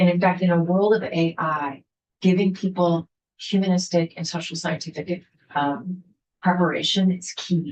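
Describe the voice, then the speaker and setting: Monotone, flat intonation, somewhat breathy, at a moderate pace. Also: woman, fairly low pitch for a woman. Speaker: university president. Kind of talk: legislative testimony presentation. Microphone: weak Wi-Fi connection.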